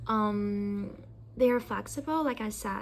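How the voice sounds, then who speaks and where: A woman speaks with a Chinese accent. Her pace is fairly slow. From China. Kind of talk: casual discussion. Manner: halting.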